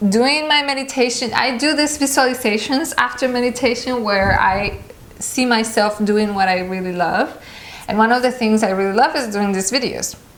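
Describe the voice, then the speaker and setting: There's audible room echo and noticeable background noise as a woman with a fairly high pitch speaks with ordinary pitch variation. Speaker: meditation vlogger. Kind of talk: casual talk to camera. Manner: halting.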